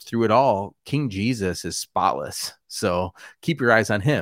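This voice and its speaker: In an American accent, a man with a fairly low pitch and an unremarkable speaking voice speaks with lively intonation, on a very clean recording with a silent background and a dry, close sound with no echo. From US Midwest, Wisconsin. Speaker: pastor. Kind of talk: casual interview chat.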